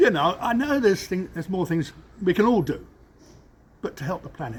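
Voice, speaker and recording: Talking at a fairly quick pace in an East Anglian accent, a man pitches his voice high and swings it very widely. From England, Cambridge. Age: 70s. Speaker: business owner. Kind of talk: interview. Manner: halting.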